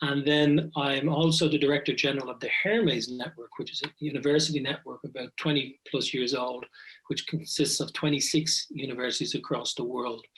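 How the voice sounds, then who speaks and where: A man speaks in an Irish accent at a fairly quick pace. His pitch is fairly high. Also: fairly even intonation, hardly any pauses. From Ireland, Dublin. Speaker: business school professor. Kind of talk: podcast interview.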